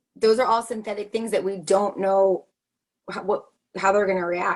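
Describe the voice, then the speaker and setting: A woman's medium-pitched, monotone voice at a fairly quick pace. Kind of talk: video call presentation. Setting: video call. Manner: fast.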